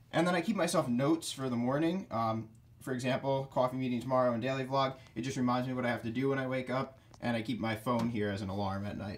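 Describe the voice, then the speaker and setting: A man at a very fast pace. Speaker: college student vlogger. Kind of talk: casual room tour commentary. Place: home room. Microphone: phone near.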